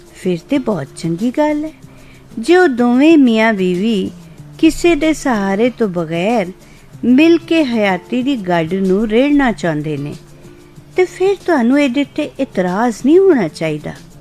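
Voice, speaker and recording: Music plays behind a woman with a fairly high pitch. Her voice makes very wide pitch swings. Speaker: radio presenter. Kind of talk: Punjabi story narration.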